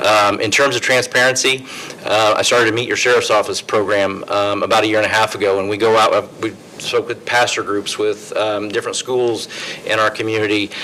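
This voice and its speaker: A man speaks at a fairly quick pace in a flat monotone with medium pitch. Noticeable background noise runs under his voice. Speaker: sheriff, political candidate. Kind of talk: candidate forum answers. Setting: public forum with live audience, streamed.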